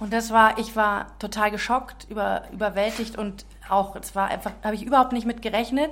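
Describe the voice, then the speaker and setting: A woman speaks at a moderate pace in a fairly high voice, her intonation flat and monotone. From Czech Republic. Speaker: author. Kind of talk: testimony.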